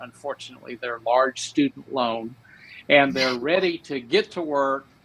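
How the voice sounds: A man with an American accent, medium pitch, fairly bright tone, ordinary pitch variation and a fairly slow pace.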